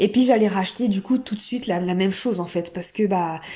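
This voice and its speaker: A woman's medium-pitched voice, dark and mellow in tone, at a moderate pace with ordinary pitch variation. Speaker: eating disorder recovery vlogger. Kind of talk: personal testimony. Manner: hesitant, many fillers.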